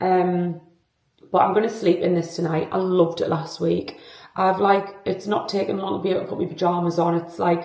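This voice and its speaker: In a British accent, the speaker talks at a fairly quick pace with monotone, flat intonation. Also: woman, fairly low pitch for a woman. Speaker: lifestyle vlogger. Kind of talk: casual vlog talk to camera. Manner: chatty, filler-heavy.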